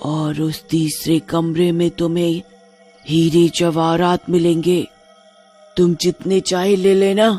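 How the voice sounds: A cartoonish character voice at a middle pitch and a very slow pace, with faint music in the background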